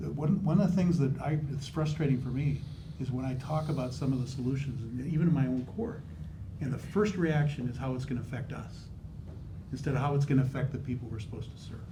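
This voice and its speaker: A very fast-paced man's voice, fairly high in pitch, with ordinary pitch variation and audible room echo. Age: old. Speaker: judge running for supreme court. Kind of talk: candidate forum answer. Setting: in-person community forum. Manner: animated.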